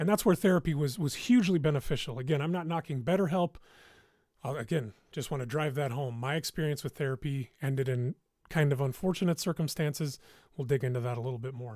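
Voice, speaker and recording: Delivered at a very fast pace, the speech has ordinary pitch variation. The sound is dry and close with no echo, on a very clean recording with a silent background. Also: man, fairly high pitch for a man. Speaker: YouTuber doing a livestream. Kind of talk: casual livestream talk reacting to chat. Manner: halting.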